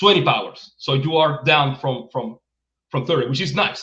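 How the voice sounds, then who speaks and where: With a Spanish accent, a man speaks at a moderate pace in a fairly high pitch. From Venezuela. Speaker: game writer and publisher. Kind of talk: interview. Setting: livestream. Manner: halting, many repetitions.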